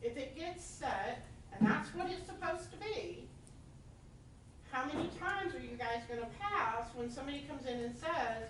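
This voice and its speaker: Speaking at a moderate pace in a north Georgia accent, a woman uses a high-pitched voice with very wide pitch swings, amid audible room echo and noticeable background noise. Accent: US Southern (north Georgia). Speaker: resident speaking at public comment. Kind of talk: public comment at a meeting. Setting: county commission meeting room.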